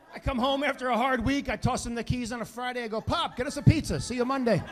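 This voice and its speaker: Over noticeable background noise, a man talks at a very fast pace with an extremely high pitch and fairly even intonation. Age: 50s. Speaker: stand-up comedian. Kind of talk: stand-up comedy set.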